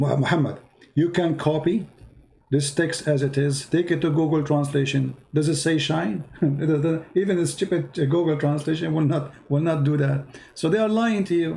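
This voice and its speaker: With a dark, mellow tone and a fairly high pitch, a man speaks at a moderate pace and very even loudness. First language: Arabic. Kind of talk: heated debate. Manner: animated.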